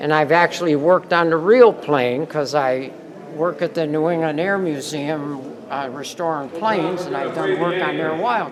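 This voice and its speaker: A man with a fairly high pitch and ordinary pitch variation talks at a moderate pace amid noticeable background noise. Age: 70s. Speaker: model builder, aircraft restorer. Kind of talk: casual interview. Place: hall. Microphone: phone near.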